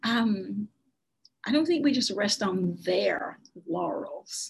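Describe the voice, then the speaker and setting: A woman speaks with an American accent in a somewhat breathy voice. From US South, South Arkansas (Nevada County). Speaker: state senator. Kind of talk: interview.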